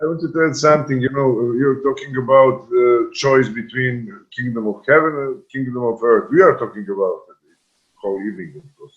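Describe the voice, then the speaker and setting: A man with a Serbian accent, fairly quick, with ordinary pitch variation and big swings in loudness. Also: medium pitch for a man. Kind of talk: panel discussion. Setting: video call. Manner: halting.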